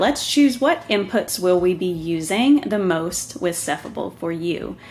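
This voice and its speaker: A woman in a Southern US accent, fairly slow, with very wide pitch swings over noticeable background noise. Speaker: software tutorial presenter. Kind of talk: tutorial. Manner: casual, with filler ums.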